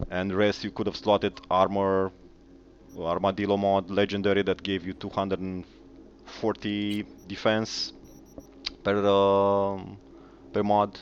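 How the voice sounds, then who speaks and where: Speaking in a non-native accent, a man uses a fairly low pitch and a monotone, flat intonation, with long, frequent pauses. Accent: noticeable foreign. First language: not English. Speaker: gaming YouTuber. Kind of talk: game commentary video. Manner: hesitant, many fillers.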